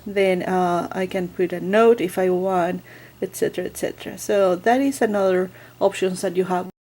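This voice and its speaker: A woman with a non-native accent speaks in a dark, mellow tone with fairly even intonation. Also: medium pitch for a woman, moderate pace. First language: not English. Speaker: book vlogger. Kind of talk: product review tutorial. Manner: hesitant, many fillers.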